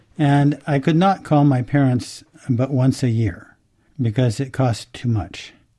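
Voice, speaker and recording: Over a quiet background, a man with an American accent speaks at a fairly slow pace in a somewhat breathy, dark, mellow tone at medium pitch. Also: ordinary pitch variation. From United States. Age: 70s. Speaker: amateur Chinese character researcher. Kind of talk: interview.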